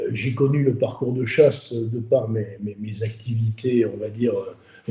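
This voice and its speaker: A somewhat breathy man at a medium pitch, with a dark, mellow tone. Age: 30s. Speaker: interviewer, shooting sport business. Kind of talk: interview. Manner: hesitant, many repetitions.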